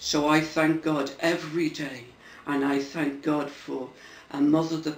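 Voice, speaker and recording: Audible room echo surrounds a man's fairly high voice. He speaks at a very slow pace. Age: 70s. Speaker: churchgoer. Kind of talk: testimony. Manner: halting.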